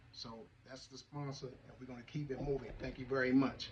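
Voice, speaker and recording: A man talks fairly quickly at medium pitch in a monotone, flat delivery. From US, East Baltimore, Maryland. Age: 60s. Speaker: TV show host, military veteran. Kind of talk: talk show monologue. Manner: loud.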